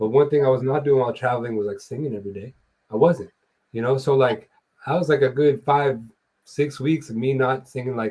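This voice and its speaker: A man talks at a fairly quick pace and medium pitch, with ordinary pitch variation and a somewhat breathy voice. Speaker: musician and show co-host. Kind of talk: casual chat. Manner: animated.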